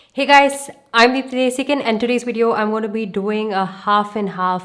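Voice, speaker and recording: At a moderate pace, a woman talks with a fairly high pitch and ordinary pitch variation. Noticeable background noise is present. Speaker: beauty YouTuber. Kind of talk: makeup tutorial. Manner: low energy, not loud.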